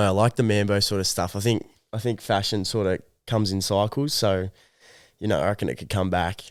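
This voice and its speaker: The speaker has an Australian accent and a moderate pace. The recording is very clean, with a silent background. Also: man. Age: 20s. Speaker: young clothing brand founder. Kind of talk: interview. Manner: casual, hesitant with fillers.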